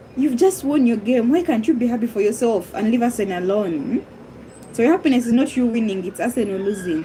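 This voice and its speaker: Over noticeable background noise, a woman with a high pitch talks at a moderate pace, her pitch swinging very widely. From Uganda. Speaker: live streamer. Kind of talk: casual live-stream chat, football banter. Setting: live stream reading chat. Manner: animated, teasing.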